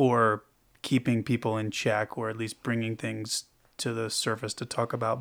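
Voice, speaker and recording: A man's unremarkable speaking voice at a medium pitch and fairly slow pace, in a very clean recording with a silent background. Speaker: podcast host. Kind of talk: podcast interview.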